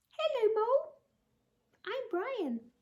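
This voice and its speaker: Using a put-on character voice, a woman goes squeaky and extremely high in pitch. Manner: friendly, cheerful.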